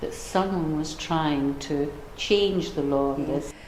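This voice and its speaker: Spoken at a fairly slow pace with a Scottish accent, the voice comes through noticeable background noise and audible room echo. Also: woman. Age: old. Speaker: older person sharing views. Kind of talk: testimony.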